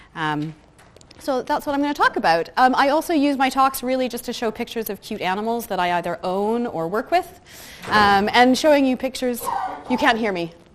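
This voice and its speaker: With a Canadian accent, a woman speaks fairly quickly at a high pitch, her voice swinging very widely up and down over noticeable background noise. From west coast of Canada. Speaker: customer service head and workplace speaker. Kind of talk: conference talk. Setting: stage with audience. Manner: soft-spoken.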